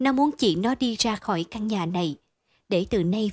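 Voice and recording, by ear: Reading aloud in a natural voice with lively intonation, the speaker is heard against a quiet background.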